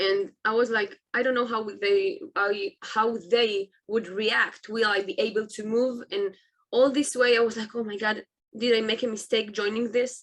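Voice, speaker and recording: A woman's fairly high voice at a moderate pace, with an Israeli accent. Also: fairly even intonation. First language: Hebrew. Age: 20s. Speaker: army reservist and motivational speaker. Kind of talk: interview. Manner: halting.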